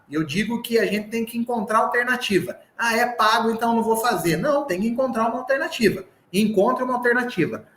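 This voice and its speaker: A man speaks at a fairly quick pace with an extremely high pitch and ordinary pitch variation, over noticeable background noise. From southern Minas Gerais, Brazil. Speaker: sales trainer. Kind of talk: live online sales training. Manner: animated.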